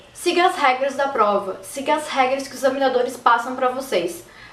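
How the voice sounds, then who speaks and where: A high-pitched woman's voice with ordinary pitch variation, audible room echo and noticeable background noise. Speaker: YouTuber. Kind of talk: casual vlog talk. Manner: fast.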